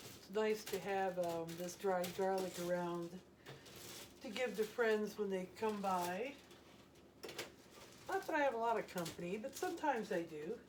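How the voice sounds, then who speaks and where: Over noticeable background noise, a woman with an American accent speaks in a relaxed tone at a medium pitch, with ordinary pitch variation and long, frequent pauses. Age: 70s. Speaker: retired homesteading vlogger. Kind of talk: casual how-to vlog narration. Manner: relaxed, unhurried with fillers.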